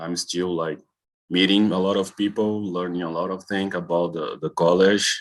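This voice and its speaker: A man with a Brazilian accent talks at a fairly slow pace in a very deep, low voice against a quiet background. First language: Portuguese. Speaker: college health and safety staff. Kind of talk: meeting presentation. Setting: video call. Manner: halting.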